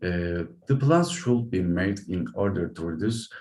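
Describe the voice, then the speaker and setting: A man with a Turkish accent speaks in a fairly low pitch with a dark, mellow tone. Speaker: academic researcher presenter. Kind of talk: conference presentation. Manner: halting, many fillers.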